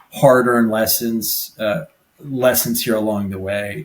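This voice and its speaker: A man speaks with an American accent. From New Jersey. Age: 40s. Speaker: personal injury lawyer. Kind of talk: podcast interview. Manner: casual, halting with repeated words.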